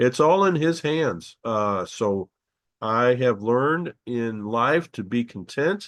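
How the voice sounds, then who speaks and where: Medium-pitched male speech with a dry, close sound with no echo, over a quiet background. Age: 60s. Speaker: bible teacher. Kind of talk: teaching video. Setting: video recorded at laptop. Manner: halting.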